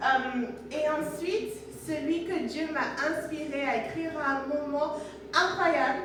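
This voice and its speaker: A woman with a Namibian accent and a high pitch, at a very slow pace, with audible room echo. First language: Oshiwambo (speaking French). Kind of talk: testimony.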